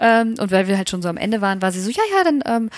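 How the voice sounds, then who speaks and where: Over noticeable background noise, a woman at a medium pitch talks at a very fast pace with very wide pitch swings. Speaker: astronaut trainee and mother. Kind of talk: casual interview. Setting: hotel room.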